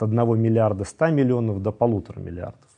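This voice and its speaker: A man speaks at a fairly quick pace and a medium pitch. His tone is dark and mellow. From Russia. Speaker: scholar of Islam. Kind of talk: interview.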